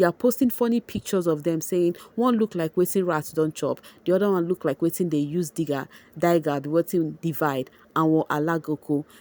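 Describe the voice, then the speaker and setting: The voice has a dark, mellow tone and ordinary pitch variation at a fairly quick pace. The sound is dry and close with no echo, in a very clean recording with a silent background. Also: woman, fairly low pitch for a woman. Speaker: entertainment vlogger. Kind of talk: celebrity gossip vlog.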